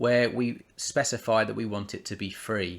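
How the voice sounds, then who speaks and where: Against a silent background on a very clean recording, a man talks with a British accent. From United Kingdom. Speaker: software tutorial presenter. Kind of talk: screen-recorded tutorial. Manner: casual, with fillers and restarts.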